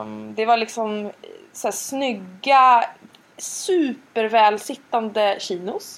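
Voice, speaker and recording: Her loudness swinging widely, a woman talks at a very slow pace. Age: 40s. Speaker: podcast co-host. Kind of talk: casual chat.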